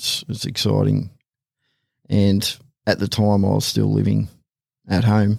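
A man speaks at a fairly slow pace. Long, frequent pauses break up his speech. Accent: Australian. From Australia, Hawkesbury region of New South Wales. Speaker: police tactical officer. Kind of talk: casual interview. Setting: studio.

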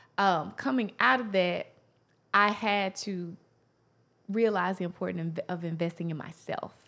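A woman with a Southern US accent, a medium pitch and a bright, sharp tone, fairly slow with long, frequent pauses, on a very clean recording with a silent background. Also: ordinary pitch variation. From US South, Tennessee. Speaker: motivational speaker and author. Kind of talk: interview.

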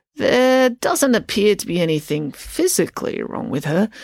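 Using a put-on character voice, the speaker goes fairly high and shaky, with very wide pitch swings at a moderate pace. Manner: slow, quavery.

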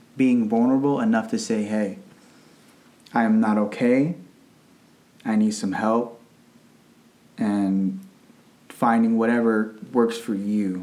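In a room with audible echo, a man with an American accent and a dark, mellow tone talks very slowly at medium pitch, his intonation fairly even and his pauses long and frequent. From Northern Virginia, US. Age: 20s. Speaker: teacher. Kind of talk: casual chat.

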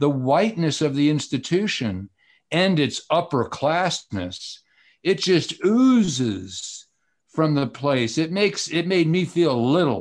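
Very clean and set against a silent background, this recording has a man with an American accent speaking at a very slow pace in a fairly high voice. His pitch swings very widely while his loudness stays very even. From US South, Atlanta. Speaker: law professor. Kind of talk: panel discussion. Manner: halting.

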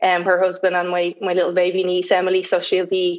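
A woman talks at a fairly quick pace. She has a Dublin accent. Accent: Dublin Irish. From Ireland, Dublin. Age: 30s. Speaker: guest in recovery. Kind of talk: casual interview chat. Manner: halting.

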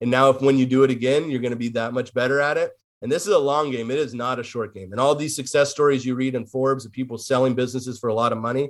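A man at medium pitch and a very fast pace, hardly any pauses, with fairly even intonation. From northern California. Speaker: wine brand owner. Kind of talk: casual interview.

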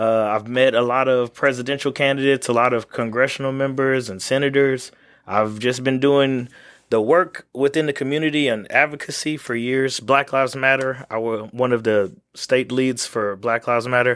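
Heard here is an ordinary speaking voice from a man with an American accent, medium in pitch, moderate in pace and fairly even in intonation. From Texas and Louisiana. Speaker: congressional candidate. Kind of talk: interview.

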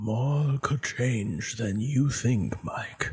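A man's put-on character voice at a medium pitch. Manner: spooky, ominous.

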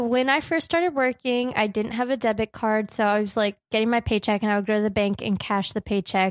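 Fairly quick and with ordinary pitch variation, a woman speaks in a fairly high pitch with an American accent and a plain, everyday voice. The recording is very clean, with a silent background and a dry, close sound with no echo. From New Jersey. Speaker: podcast co-host. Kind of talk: casual chat.

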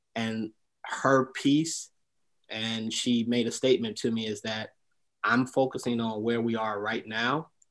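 A man with an American accent speaks in an unremarkable speaking voice at medium pitch. He talks at a fairly slow pace over a quiet background. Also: fairly even intonation. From Detroit, Michigan. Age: 50s. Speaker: entrepreneur and military veteran. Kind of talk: interview testimony.

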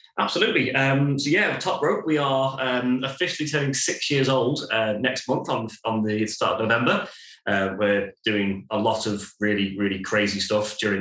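The speech moves at a fairly quick pace with hardly any pauses, and room echo is audible. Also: man. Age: 30s. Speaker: brewery co-founder. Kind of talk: casual chat.

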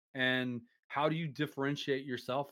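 Medium-pitched and fairly even in intonation, a man talks in an unremarkable speaking voice. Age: 40s. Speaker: streaming platform staff member. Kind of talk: casual interview. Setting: live stream.

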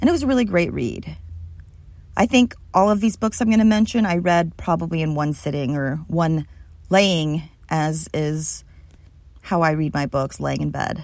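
A woman's very deep, low-pitched voice at a moderate pace, with lively intonation and long, frequent pauses. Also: very clean recording, silent background. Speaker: podcast host. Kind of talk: casual monologue reviewing pop culture. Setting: home recording in a small closet. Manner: stumbling over words.

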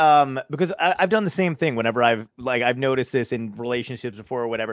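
A man with an American accent at a very fast pace, lively intonation, and a dry, close sound with no echo. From Brooklyn, New York. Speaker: podcast host. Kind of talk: casual interview. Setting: video call.

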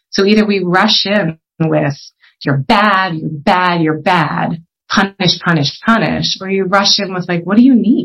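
A woman with an American accent speaks at a fairly slow pace, her voice showing vocal fry. Her pitch sits in the medium range with ordinary variation. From Pennsylvania, US (Philadelphia area). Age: 40s. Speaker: social entrepreneur. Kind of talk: interview. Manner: halting.

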